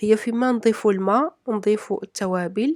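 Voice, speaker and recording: The speaker has a Moroccan accent and talks at a moderate pace with ordinary pitch variation. The recording is dry and close with no echo. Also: woman. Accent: Moroccan Arabic (Darija). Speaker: cooking vlogger. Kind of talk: cooking tutorial narration. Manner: halting, with fillers.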